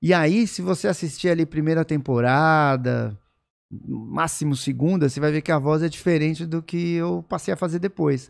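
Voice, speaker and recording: In a Brazilian accent, a man talks at a moderate pace with ordinary pitch variation against a quiet background. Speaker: voice actor. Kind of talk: podcast interview answer. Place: studio. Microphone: studio mic.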